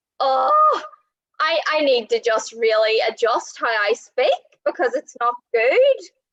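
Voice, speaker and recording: A woman with a Northern Irish accent, at a very slow pace and very even loudness. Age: 20s. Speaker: online show host. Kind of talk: interview.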